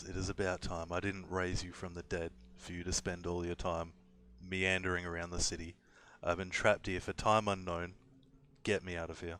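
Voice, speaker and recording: A husky, put-on character voice speaks at a moderate pace. The intonation is flat and monotone. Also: man, very deep, low pitch for a man. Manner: impatient, demanding.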